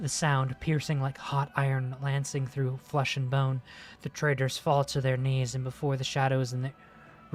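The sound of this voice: This is an unforced reading voice. It is used throughout.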